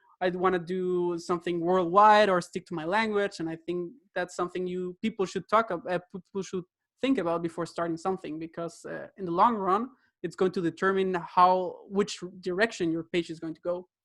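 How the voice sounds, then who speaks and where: Talking at a fairly quick pace with a Spanish accent, a man uses a high pitch and fairly even intonation, the sound dry and close with no echo. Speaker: podcast host. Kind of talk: interview.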